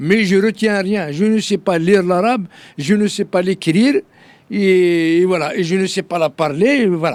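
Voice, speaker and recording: In a very clean recording with a silent background, a man with a high voice speaks at a fairly slow pace. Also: ordinary pitch variation. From Algeria (Kabylie). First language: Kabyle (speaking French). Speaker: political activist. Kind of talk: interview. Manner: halting, many fillers and repetitions.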